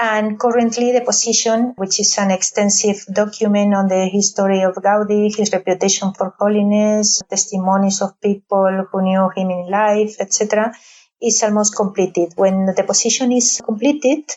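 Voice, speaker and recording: Moderate pace in a Spanish accent, monotone and flat, with very even loudness and hardly any pauses. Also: woman, medium pitch for a woman. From Spain, Madrid. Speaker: advocate for a beatification cause. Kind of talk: interview. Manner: halting, with many fillers.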